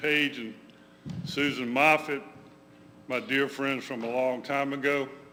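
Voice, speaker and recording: A loud man with an American accent speaks at a very slow pace, his tone bright and sharp. His intonation is fairly even, and there is audible room echo. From Georgia, US South. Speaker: memoir author. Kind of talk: talk to congregation. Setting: church room with audience, livestreamed.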